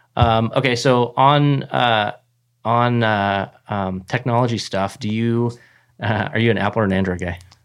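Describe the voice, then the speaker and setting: Someone with an ordinary speaking voice talks at a fairly slow pace with ordinary pitch variation, over a quiet background. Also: man, medium pitch for a man. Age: 40s. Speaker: podcast host and software business owner. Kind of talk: casual interview; scripted outro.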